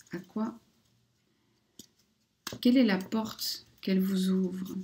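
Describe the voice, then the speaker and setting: A woman's voice comes through somewhat breathy, with fairly even intonation. Her pace is very slow. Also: medium pitch for a woman. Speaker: oracle card reader / spiritual guidance channel host. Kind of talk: casual talk to camera, oracle card reading.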